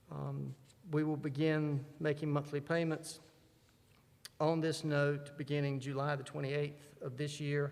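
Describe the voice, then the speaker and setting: In a room with audible echo, the voice moves fairly slowly in a monotone, flat way. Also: man, fairly high pitch for a man. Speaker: church finance officer. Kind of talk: business meeting report. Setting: church.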